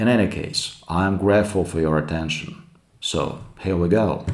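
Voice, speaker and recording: With a Russian accent and a very deep, low pitch, a man speaks at a fairly slow pace amid audible room echo. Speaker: YouTube commentator. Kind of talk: commentary monologue.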